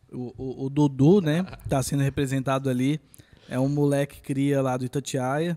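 With a quiet background, a man speaks at a moderate pace in a fairly high voice with flat, monotone intonation. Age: 20s. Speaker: visual artist; podcast guest. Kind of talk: casual chat. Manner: halting. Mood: relaxed, friendly. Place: studio. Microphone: studio mic.

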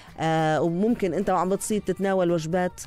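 In a dry sound with no echo, a woman talks at a fairly quick pace with a dark, mellow tone and fairly low pitch. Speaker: radio presenter. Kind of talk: radio travel segment, half read. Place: studio. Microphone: studio mic.

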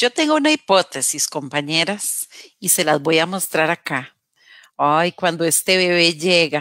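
A woman at a fairly low pitch with a bright, sharp tone, fairly slow pace and ordinary pitch variation, dry with no echo over a quiet background. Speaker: radio program host. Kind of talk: casual talk show discussion. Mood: warm, expressive. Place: home room. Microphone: headset.

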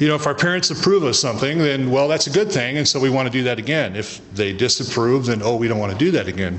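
The man speaks at a fairly quick pace. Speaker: speaker. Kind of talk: sermon. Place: hall. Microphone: podium.

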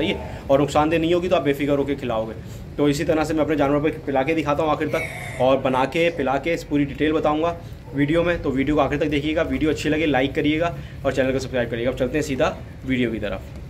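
Over light background noise, a man talks at a fairly quick pace with fairly even intonation and very even loudness. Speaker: goat farmer vlogger. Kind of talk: casual vlog chat. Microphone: phone near.

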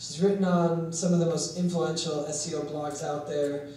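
The room echo is audible, with light background noise. A man is speaking. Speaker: conference moderator. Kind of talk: speaker introduction. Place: meeting room.

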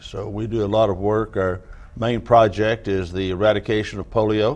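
A man with a Southern US accent talks at a moderate pace in a fairly low pitch. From US South, Tennessee. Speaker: nonprofit organization president; guest. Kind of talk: TV interview. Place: studio. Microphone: lapel.

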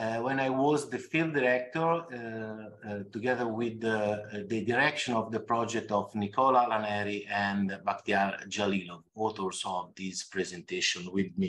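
A man with an unremarkable speaking voice and fairly low pitch. He talks at a fairly slow pace with ordinary pitch variation. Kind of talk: conference talk. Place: home room. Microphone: webcam.

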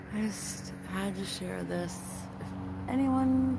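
A woman with an American accent is heard over loud background noise in a dry sound with no echo. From South Florida, US. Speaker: amateur sky-watching video creator. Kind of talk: casual vlog narration. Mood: awed, pleading. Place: garden. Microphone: phone near.

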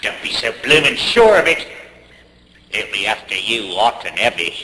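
A man's put-on character voice, fairly low in pitch with big pitch swings, a bright, sharp tone and a slightly husky edge. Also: moderate pace.

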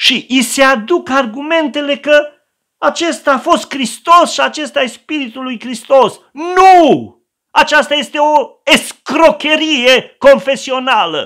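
Over a quiet background, a man talks very slowly in an extremely high pitch with a bright, sharp tone. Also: ordinary pitch variation. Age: old. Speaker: pastor. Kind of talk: sermon. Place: home room.

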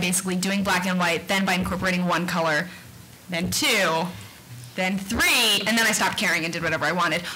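A woman with an American accent keeps her intonation fairly even and her loudness very even, over light background noise. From Texas, Austin; Texas. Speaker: cartoonist; panelist. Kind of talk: panel discussion. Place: hall. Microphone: podium.

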